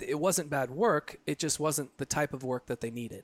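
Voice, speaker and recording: The man has a plain, everyday voice with a fairly high pitch, recorded in a dry, close sound with no echo. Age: 30s. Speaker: photographer. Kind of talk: casual chat. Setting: cigar lounge.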